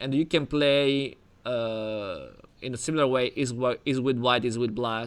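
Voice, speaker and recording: The speaker talks at a fairly slow pace with fairly even intonation, in an Italian accent. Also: man, medium pitch for a man. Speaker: chess coach. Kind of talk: online chess lesson. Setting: video call. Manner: halting.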